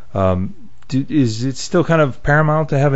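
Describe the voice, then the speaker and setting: At a fairly quick pace, a man with a normal speaking voice talks with lively intonation. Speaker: podcast host. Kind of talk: podcast interview.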